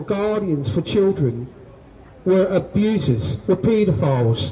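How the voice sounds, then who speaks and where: Amid noticeable background noise, a high-pitched man with a London accent speaks very slowly, his loudness very even and his intonation lively. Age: 60s. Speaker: abuse survivor speaking at a rally. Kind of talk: testimony.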